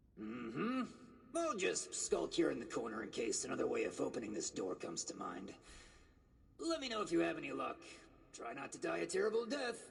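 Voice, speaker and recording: A raspy, put-on character voice at a fairly quick pace, with long, frequent pauses. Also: man. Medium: video game. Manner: wry, sarcastic.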